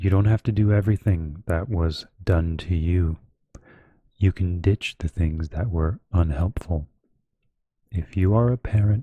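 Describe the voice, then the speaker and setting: A soft-spoken man with a very deep, low pitch, a dark, mellow tone, a somewhat breathy quality, fairly even intonation and a fairly slow pace. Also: dry, close sound with no echo, very clean recording, silent background. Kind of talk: slow audiobook-style reading of a self-help book. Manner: soft-spoken, slow, relaxing.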